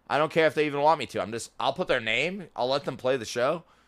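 On a very clean recording with a silent background, a man with an American accent talks at a medium pitch and a fairly quick pace, with an animated tone, lively intonation and vocal fry. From Rochester, New York. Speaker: podcast co-host. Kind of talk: casual chat.

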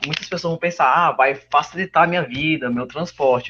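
Using a plain, everyday voice, a man speaks at a fairly high pitch with ordinary pitch variation. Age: young. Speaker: student podcast host. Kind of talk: interview.

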